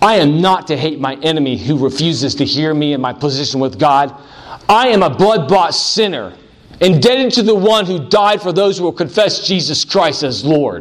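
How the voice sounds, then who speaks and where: A man talks at a moderate pace with very wide pitch swings. Audible room echo and noticeable background noise surround him. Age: 40s. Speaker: pastor. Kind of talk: sermon.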